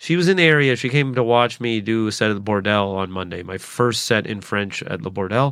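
Speaking at a fairly quick pace, a man with a Canadian accent uses lively intonation. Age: 30s. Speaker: stand-up comedian. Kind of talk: solo podcast monologue. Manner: fast talker; halting.

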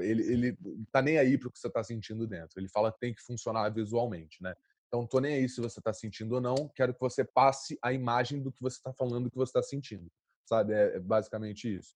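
A man talks at a very fast pace and a medium pitch. His loudness swings widely, and the sound is dry and close with no echo. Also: ordinary pitch variation. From Brazil, Rio de Janeiro (Santa Marta favela). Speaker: actor. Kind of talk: interview. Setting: at home during quarantine.

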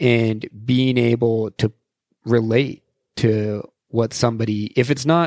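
A plain, everyday voice from a man with an American accent, at medium pitch with fairly even intonation and a dry, close sound with no echo. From Salt Lake City, Utah. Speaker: landscape and action photographer. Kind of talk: casual chat.

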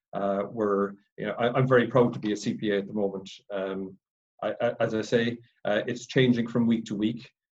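A man with a Cork accent talks at a moderate pace and medium pitch. His intonation is monotone and flat, with long, frequent pauses. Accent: Irish (Cork). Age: 40s. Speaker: accountant. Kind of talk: presentation. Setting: video call.

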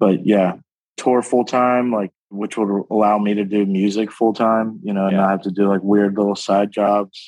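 A man speaks in an American accent at a moderate pace. His fairly low voice has monotone, flat intonation. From North Carolina. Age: 30s. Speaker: EDM producer and comedian. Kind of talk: casual chat.

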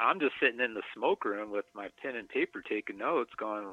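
Pitch swings very widely as this man talks in an American accent. His pace is fairly quick. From South Dakota, US. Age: 40s. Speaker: tattoo shop owner. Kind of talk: interview about recovery.

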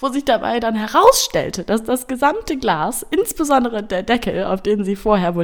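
Pitch swings very widely as the speaker goes at a fairly slow pace. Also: woman. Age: 20s. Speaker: podcast guest. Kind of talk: storytelling.

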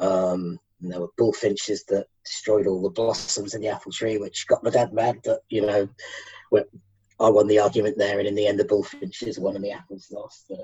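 A man with a fairly low, somewhat breathy voice speaks at a moderate pace in a monotone, flat intonation. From Manchester, England. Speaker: Facebook page founder, birder. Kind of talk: casual interview.

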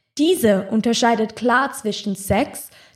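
A woman speaks at a moderate pace with a fairly high pitch. Her voice is somewhat breathy. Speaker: podcast host. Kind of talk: reading aloud; casual chat.

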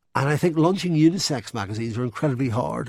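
A man speaks with a Northern Irish accent in a dark, mellow tone and lively intonation. The recording is very clean, with a silent background. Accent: Northern Irish (Belfast). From Northern Ireland, Belfast. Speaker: magazine industry executive. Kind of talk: interview. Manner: hesitant, with fillers.

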